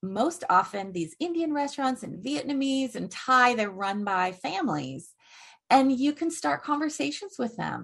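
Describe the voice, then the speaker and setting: A woman speaks in a somewhat breathy voice with lively intonation against a quiet background. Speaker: author and course creator. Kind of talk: interview conversation.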